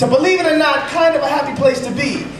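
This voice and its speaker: There is noticeable background noise as a man talks at a very fast pace with ordinary pitch variation. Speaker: slam poet. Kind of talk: slam poetry performance.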